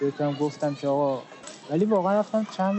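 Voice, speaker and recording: A man with fairly high pitch and lively intonation is heard over noticeable background noise. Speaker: podcast co-host. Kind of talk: casual chat. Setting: outdoors on a park bench.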